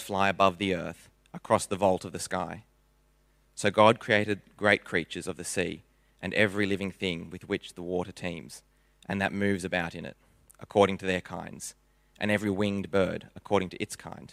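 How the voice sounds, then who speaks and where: A man talks in a plain, everyday voice with fairly low pitch and fairly even intonation. The recording is very clean, with a silent background. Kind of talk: scripture reading aloud. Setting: church.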